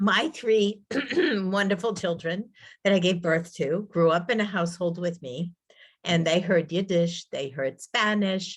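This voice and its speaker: This woman has an ordinary speaking voice with a fairly low pitch and an American accent. She talks at a fairly slow pace with ordinary pitch variation. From Massachusetts. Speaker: linguist. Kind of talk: Q&A after a talk.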